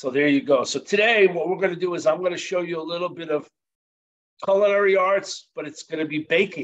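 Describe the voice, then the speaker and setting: At a fairly quick pace, a man speaks in a high pitch with ordinary pitch variation. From New Jersey. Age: 60s. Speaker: chef instructor. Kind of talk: cooking demonstration. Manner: casual, conversational.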